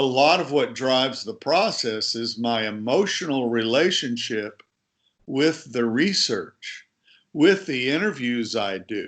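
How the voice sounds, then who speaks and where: A plain, everyday voice speaks with an American accent at a fairly slow pace. The intonation is lively, and the background is quiet. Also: man, medium pitch for a man. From USA. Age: 60s. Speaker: author and sports journalist. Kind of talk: interview.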